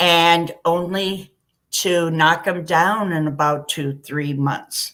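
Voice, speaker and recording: A woman's fairly low pitch at a very slow pace with fairly even intonation. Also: very clean recording, silent background. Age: 60s. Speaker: live stream guest sharing experience. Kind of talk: casual chat.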